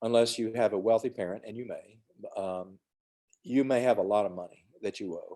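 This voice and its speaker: Speaking at a moderate pace, a man with a Southern US accent uses a medium pitch, a dark, mellow tone and ordinary pitch variation. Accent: Southern US (Georgia). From US South, Georgia (west of Atlanta). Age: 60s. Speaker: emergency physician. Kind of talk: mentoring talk to students on video call. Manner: casual, conversational with fillers.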